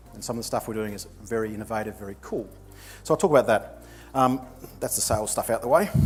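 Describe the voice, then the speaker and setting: A man speaks with an American accent at medium pitch, with ordinary pitch variation. Music plays in the background. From New Zealand (Nelson). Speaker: digital marketing entrepreneur. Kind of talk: conference presentation. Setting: stage with audience. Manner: casual, conversational.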